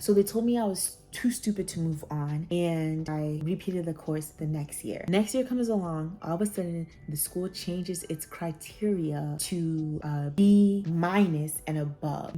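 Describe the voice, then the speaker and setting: Ordinary pitch variation at a fairly slow pace, with music in the background. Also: woman. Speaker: nurse, former nursing student. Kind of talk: casual talk to camera.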